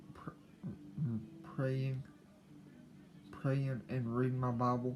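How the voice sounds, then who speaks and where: Medium-pitched male speech with music in the background. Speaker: YouTuber. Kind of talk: casual personal talk to camera. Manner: slow; halting, repeats words.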